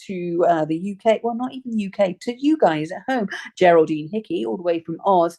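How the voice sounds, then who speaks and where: A woman with a dark, mellow tone speaks at a fairly quick pace, her pitch swinging very widely. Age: 40s. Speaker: comedian. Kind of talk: casual chat.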